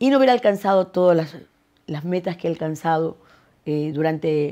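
The tone is dark and mellow, with lively intonation at a moderate pace. The background is quiet. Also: woman, fairly low pitch for a woman. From Ecuador (Guayaquil). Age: 70s. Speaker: singer; interviewee. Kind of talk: interview. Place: home room.

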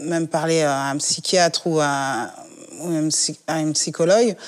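Against a quiet background, a woman with a very deep, low voice speaks very slowly with ordinary pitch variation. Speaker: discussion participant. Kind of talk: discussion on a talk show. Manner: hesitant. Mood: calm, reflective. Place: home room.

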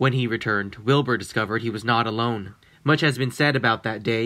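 The clip is spoken in an unforced reading voice.

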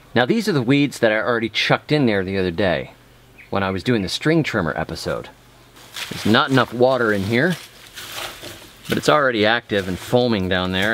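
Over light background noise, a man talks at a fairly quick pace in a fairly low pitch, the sound dry with no echo. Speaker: gardening channel host. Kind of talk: casual vlog chat. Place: garden. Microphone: phone near.

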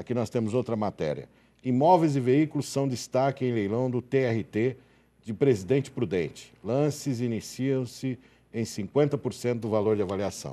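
Moderate pace, medium pitch and a dark, mellow tone from a man. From Brazil. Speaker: TV show host about auctions; TV show host. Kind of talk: live TV interview. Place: studio. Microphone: lapel.

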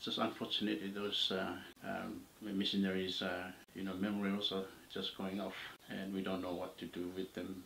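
In a room with audible echo and light background noise, a man talks at a fairly quick pace with a fairly low pitch. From Papua New Guinea, Morobe Province. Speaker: oral history narrator. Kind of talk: interview answer, oral history. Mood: calm reflective recounting. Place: home room.

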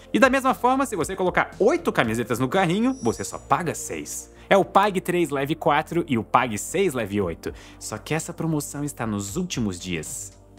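Over faint background music, a man talks with hardly any pauses. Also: moderate pace. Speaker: science channel host. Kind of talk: educational commentary. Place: home room.

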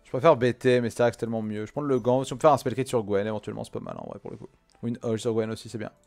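Speaking at a very fast pace with fairly even intonation, a man's voice makes big swings in loudness while faint music plays in the background. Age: 20s. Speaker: gaming streamer. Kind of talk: casual gameplay commentary chatting with viewers; casual gameplay commentary. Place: home room.

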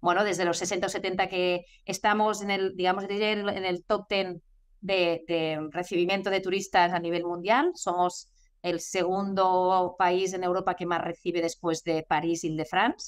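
A flat, monotone delivery comes through over a quiet background. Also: woman, fairly slow pace. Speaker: guest. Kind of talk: interview answer. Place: office. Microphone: video call.

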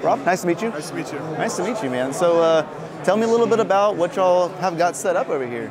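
Over noticeable background noise, someone with an American accent talks at a very fast pace with lively intonation. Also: man, high pitch for a man. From Oklahoma. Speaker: crypto mining youtuber. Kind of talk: casual interview at trade show. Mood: friendly greeting. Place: hall. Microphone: handheld.

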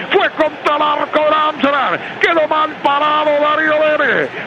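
A raised, projected voice, fairly slow and flat in a monotone, against noticeable background noise. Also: man. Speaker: football match commentator. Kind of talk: live commentary. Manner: drawn-out goal calls. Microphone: handheld.

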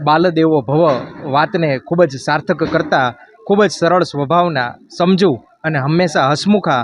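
Fairly high male voice with ordinary pitch variation, over noticeable background noise. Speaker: education official. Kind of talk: formal speech. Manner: formal.

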